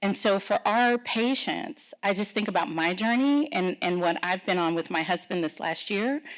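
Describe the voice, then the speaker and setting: With an American accent, a woman speaks at a medium pitch and a moderate pace, her intonation lively. The recording is very clean, the background silent. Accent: Texan, comes out sometimes. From Texas. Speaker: pharma policy executive. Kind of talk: fireside chat interview.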